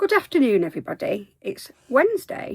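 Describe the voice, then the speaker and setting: In a West Country accent, a woman speaks in an animated tone at a moderate pace with very wide pitch swings, recorded dry and close with no echo on a very clean, silent background. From Devon, England. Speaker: crochet youtuber. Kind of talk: casual vlog chat. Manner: chatty, animated.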